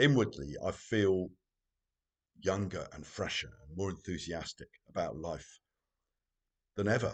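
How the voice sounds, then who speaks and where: Here a man talks at a fairly slow pace with a fairly low pitch and ordinary pitch variation. His loudness swings widely, and long pauses are frequent. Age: 60s. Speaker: spiritual teacher. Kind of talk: reflective monologue. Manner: improvised, hesitant.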